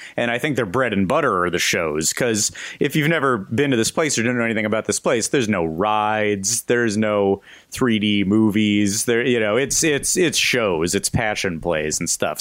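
A man uses a normal speaking voice, fairly low-pitched, at a fairly quick pace. His intonation is lively and his loudness very even. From Southern California. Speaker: podcast host. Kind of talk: casual chat.

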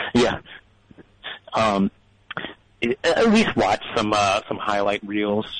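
Noticeable background noise behind a man's very slow delivery, broken by long, frequent pauses. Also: dry, close sound with no echo. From New Orleans, Louisiana. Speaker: caller, web developer. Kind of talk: call-in conversation. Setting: phone call. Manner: halting, many fillers.

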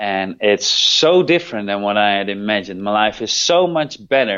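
Someone with a Dutch accent speaks at a moderate pace with ordinary pitch variation. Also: man. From Netherlands. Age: 30s. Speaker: rehab program manager. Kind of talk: interview. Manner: halting.

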